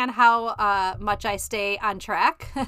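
A woman speaks with an American accent. Her tone is bright and sharp. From Chicago. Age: 50s. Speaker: podcast host and life coach. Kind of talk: solo podcast monologue. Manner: casual with frequent fillers.

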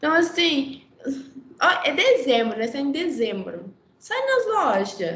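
There is noticeable background noise behind this woman. She speaks very slowly at a high pitch. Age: 20s. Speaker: fashion designer, atelier owner. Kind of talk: casual chat.

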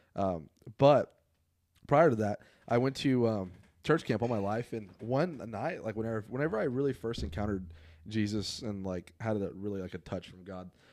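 Using an ordinary speaking voice, a man speaks at a moderate pace with a fairly low pitch, lively intonation and big swings in loudness. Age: young. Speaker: youth pastor. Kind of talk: testimony.

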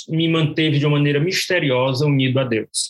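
This is a man with an ordinary speaking voice. His pace is fairly quick. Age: 60s. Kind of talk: testimony. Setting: remote call.

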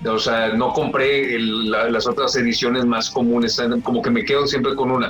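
A man speaks at a medium pitch and moderate pace, with very even loudness and fairly even intonation. Music plays behind him, and the room echo is audible. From Mexico, Monterrey. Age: 40s. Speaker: journalist and vinyl collector. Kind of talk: interview.

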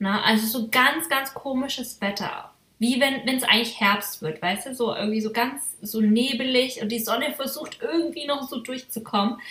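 A woman with a high voice talks at a moderate pace with hardly any pauses. Her pitch varies in an ordinary way, and there is noticeable background noise. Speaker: podcast host. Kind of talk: casual chat.

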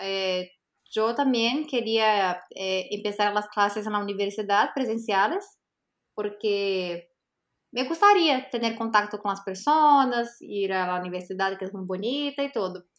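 A woman's medium-pitched voice with a Portuguese accent, at a fairly slow pace, on a very clean recording with a silent background. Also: ordinary pitch variation. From Brazil. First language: Portuguese (speaking Spanish). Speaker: language teacher and school founder. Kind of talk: interview.

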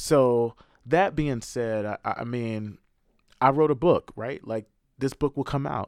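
Speaking fairly slowly in an ordinary speaking voice, a man with a medium pitch and ordinary pitch variation is recorded with a dry, close sound and no echo. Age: middle-aged. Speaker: author and editor. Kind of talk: interview conversation.

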